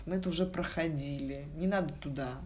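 The voice has vocal fry, ordinary pitch variation and a moderate pace, with audible room echo. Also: woman. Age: 40s. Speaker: corporate executive. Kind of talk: casual interview. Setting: studio.

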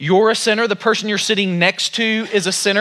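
A man's raised, projected voice, high-pitched, with an American accent at a fairly quick pace. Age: 40s. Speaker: pastor. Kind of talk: sermon. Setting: church.

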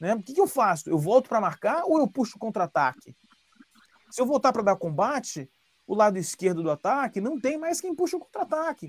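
Recorded dry and close with no echo, a man speaks at a fairly quick pace in an extremely high voice that swings very widely in pitch. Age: 40s. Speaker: football analyst. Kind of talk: podcast interview.

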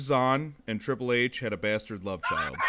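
With ordinary pitch variation at a medium pitch, this man talks amid noticeable background noise. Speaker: podcast host. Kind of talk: casual chat.

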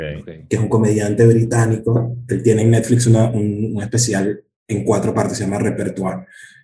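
A man with a Caracas accent speaks at a moderate pace. His tone is dark and mellow, and somewhat breathy. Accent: Venezuelan Spanish (Caracas). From Venezuela, Caracas. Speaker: stand-up comedian. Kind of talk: casual chat.

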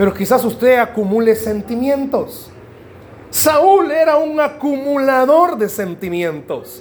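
Extremely high in pitch, a man speaks at a very slow pace with ordinary pitch variation over noticeable background noise. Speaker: pastor. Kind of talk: sermon.

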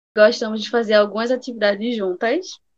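Moderate-paced speech from a woman, fairly high in pitch, with ordinary pitch variation. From Recife, Pernambuco, Brazil. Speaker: podcast co-host. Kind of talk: casual chat.

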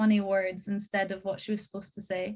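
The speaker is a woman with a medium pitch. Her voice is somewhat breathy. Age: 20s. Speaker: musical theatre performer. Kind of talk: casual chat.

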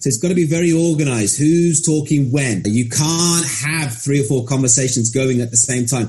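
The speaker talks at a moderate pace with ordinary pitch variation. Music is playing in the background. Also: man. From Birmingham, England. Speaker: English teacher. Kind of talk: interview.

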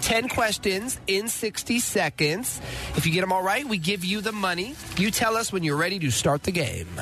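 A man with a high-pitched voice speaks in a raised, projected way over noticeable background noise. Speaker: radio host. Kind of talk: morning radio show banter. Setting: radio studio. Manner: animated, joking, bantering.

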